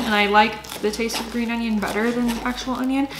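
A woman speaks with a fairly high pitch and ordinary pitch variation. Clear background noise is heard.

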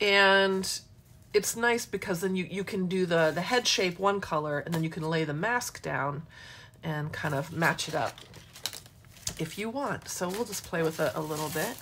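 The speaker has an American accent and ordinary pitch variation, talking at a moderate pace. Background noise is noticeable. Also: woman, fairly low pitch for a woman. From Michigan, US. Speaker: mixed-media art instructor. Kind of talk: live craft demo tutorial. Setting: live social media broadcast. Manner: chatty, animated. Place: workshop. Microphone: phone near.

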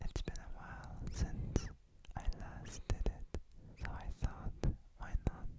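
Whispering at a very slow pace. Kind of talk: ASMR mouth sounds while gaming. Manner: whispered.

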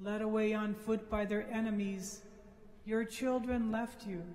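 A man's high-pitched, slightly mellow voice at a fairly slow pace, fairly even intonation, audible room echo.

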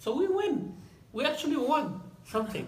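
A man talks at a moderate pace in an extremely high pitch with big pitch swings, and there is strong room echo.

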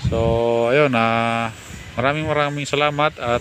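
Noticeable background noise sits behind a man speaking. He talks at a fairly slow pace with fairly even intonation. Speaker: vlogger and backyard poultry and goat raiser. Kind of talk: casual walkthrough vlog. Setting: outdoors at a poultry farm. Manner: hesitant, many fillers.

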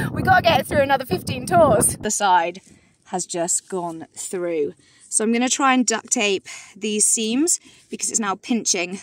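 A woman speaks at a fairly slow pace with very wide pitch swings, in a dry sound with no echo and light background noise. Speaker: hiking vlogger. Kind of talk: casual vlog chat. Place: open country. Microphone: phone near.

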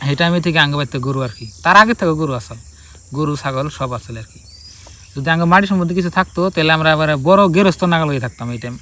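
Here a man speaks in an ordinary speaking voice, fairly high in pitch, with lively intonation. His loudness swings widely. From Assam, India (Bongaigaon district). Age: 20s. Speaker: vlogger. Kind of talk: casual life-story vlog. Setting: outdoors by a river.

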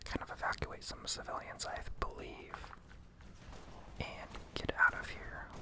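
Whispering at a moderate pace, a man leaves long, frequent pauses amid noticeable background noise. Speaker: ASMR gaming content creator. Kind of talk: casual talk to camera. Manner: soft-spoken, whispered.

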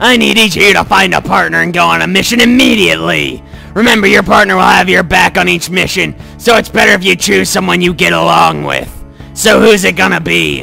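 A put-on character voice speaks at a fairly quick pace over clear music in the background. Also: man. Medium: game stream. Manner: blunt, brusque.

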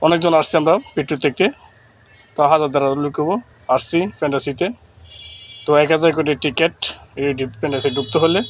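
A fairly high-pitched male voice against noticeable background noise. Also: fairly even intonation. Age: 30s. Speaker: content creator and driver. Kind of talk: vlog walkthrough. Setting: outdoors at amusement park. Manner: casual, rambling.

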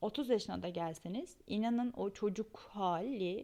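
With lively intonation, a woman speaks in a fairly high pitch with a dark, mellow tone. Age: 30s. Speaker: podcast host. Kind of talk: personal monologue.

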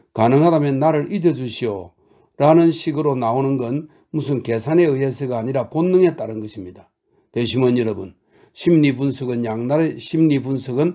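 In a quiet background, a man speaks with a dark, mellow tone, a medium pitch, ordinary pitch variation and a moderate pace. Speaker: audiobook narrator. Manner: rhetorical, earnest, persuasive, with pointed questions and emphatic pauses.

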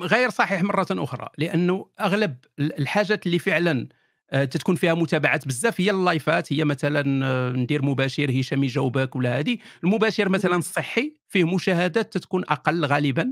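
Very even in loudness, a man's high-pitched voice moves at a moderate pace with lively intonation in a dry, close sound with no echo. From Morocco, Kenitra. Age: 40s. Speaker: atheist YouTuber. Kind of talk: interview.

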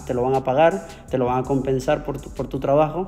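Fairly even intonation marks this man's delivery. He keeps a fairly quick pace. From Venezuela. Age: 30s. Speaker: trader; interviewee. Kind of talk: interview. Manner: halting, with many repetitions. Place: home room. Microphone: earbuds.

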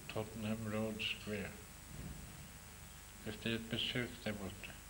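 A man's voice sits fairly low in pitch. Noticeable background noise can be heard. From Norway. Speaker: poet. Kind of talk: talk about own poems to an audience. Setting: lecture hall with microphone. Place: classroom. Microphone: podium.

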